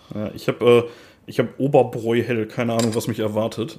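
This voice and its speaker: A man speaks at a medium pitch and a moderate pace, with a strong Ruhr accent. His intonation stays flat and monotone. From Ruhr area, Germany. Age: 30s. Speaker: metal podcast co-host. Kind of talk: casual chat. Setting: remote recording over headphones.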